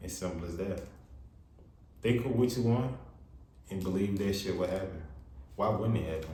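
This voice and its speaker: A man talks at a moderate pace with a very deep, low pitch and ordinary pitch variation. Long, frequent pauses break up his speech, and there is audible room echo. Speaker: tarot reader. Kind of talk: tarot reading. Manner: loud, talking up. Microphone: far from the mic.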